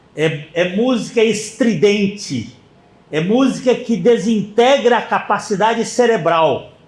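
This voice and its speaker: The speaker goes very slowly, with ordinary rises and falls in pitch. Audible echo fills the room. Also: man, high pitch for a man. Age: 80s+. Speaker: pastor. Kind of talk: sermon.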